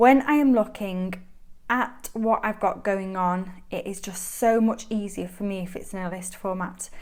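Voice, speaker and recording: A woman speaks with a Mancunian accent and ordinary pitch variation. The recording is very clean, with a silent background. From Manchester, northern England. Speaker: planner YouTuber. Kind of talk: show-and-tell vlog. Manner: chatty, enthusiastic.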